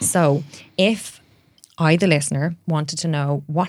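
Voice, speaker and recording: A woman with an Irish accent speaks at a moderate pace. Her pitch is very deep and low, and her intonation is fairly even. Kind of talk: interview conversation.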